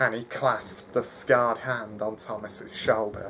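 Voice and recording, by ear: A text is being read aloud in a natural voice.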